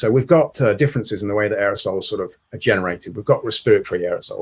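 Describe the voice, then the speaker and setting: Speaking at a very fast pace, a man with a British accent has a somewhat breathy, medium-pitched voice. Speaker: dentist presenting on infection control. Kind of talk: webinar presentation. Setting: online webinar from home.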